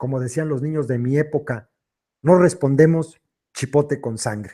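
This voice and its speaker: A man with a fairly high pitch and a dark, mellow tone talks with ordinary pitch variation on a very clean recording with a silent background. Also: moderate pace. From Mexico, Michoacán. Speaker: online commentator reading political texts. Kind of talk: live stream chat. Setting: live stream.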